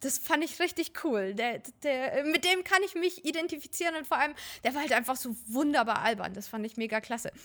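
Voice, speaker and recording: Her pitch is high, and the woman's intonation is lively. She talks at a fairly quick pace. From Germany, Fürth (Franconia). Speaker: professional cosplayer. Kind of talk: casual interview.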